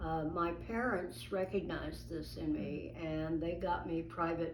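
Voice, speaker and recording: Fairly slowly, a woman talks as noticeable background noise carries on. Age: 80s+. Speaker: illustrator. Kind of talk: interview answer.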